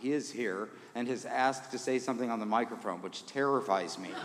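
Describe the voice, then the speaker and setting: A man with an American accent speaks with ordinary pitch variation in a room with audible echo. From Indiana. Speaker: concert organist. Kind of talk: concert remarks to audience. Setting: church with audience. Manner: casual, self-deprecating.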